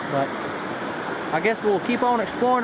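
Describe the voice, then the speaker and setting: Loud background noise sits behind a man's speech. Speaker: outdoor explorer vlogger. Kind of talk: casual vlog chat. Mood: mildly disappointed, easygoing. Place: waterside. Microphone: phone near.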